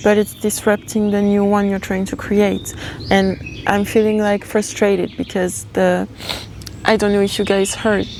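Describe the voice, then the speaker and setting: A woman with a non-native accent, medium-pitched, flat and monotone at a moderate pace, with noticeable background noise. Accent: non-native English accent, noted by self. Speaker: tarot reader, channeler. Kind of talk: channeled tarot reading. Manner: halting, self-correcting.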